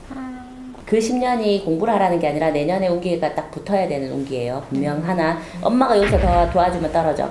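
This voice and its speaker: Her fairly low voice moving at a fairly quick pace, a woman talks amid audible room echo and light background noise. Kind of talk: fortune reading consultation. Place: home room.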